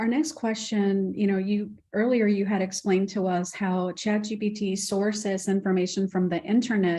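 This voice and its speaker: In a quiet background, a woman with a dark, mellow, somewhat breathy tone speaks at a medium pitch with fairly even intonation and hardly any pauses. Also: moderate pace. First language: Spanish. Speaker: program host and moderator. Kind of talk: Q&A moderation.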